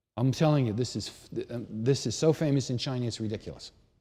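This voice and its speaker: On a very clean recording with a silent background, a man talks at a fairly quick pace in a dark, mellow tone at medium pitch. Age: 60s. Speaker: tai chi and qigong teacher. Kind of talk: instructional lecture. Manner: conversational, with many fillers and repetitions.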